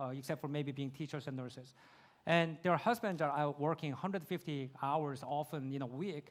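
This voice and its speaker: In a very clean recording with a silent background, a man with a Korean accent speaks at a fairly quick pace. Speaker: YouTube creator, speaker. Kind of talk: Q&A answer at conference. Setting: conference stage with audience.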